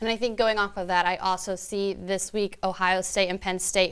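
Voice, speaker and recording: On a very clean recording with a silent background, there is an ordinary speaking voice. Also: woman. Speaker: sports broadcaster, student. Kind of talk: analyst discussion, casual talk about games.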